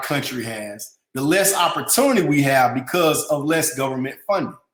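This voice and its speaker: Animated in tone, a man speaks at a moderate pace with very wide pitch swings. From US South, Atlanta, Georgia. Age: 30s. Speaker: company CEO, financial educator. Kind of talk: webinar presentation.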